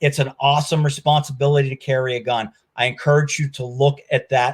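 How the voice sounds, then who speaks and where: Here a man speaks in a fairly high, somewhat breathy voice. His moderate pace carries a monotone, flat intonation. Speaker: security expert, law enforcement background. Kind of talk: webinar presentation.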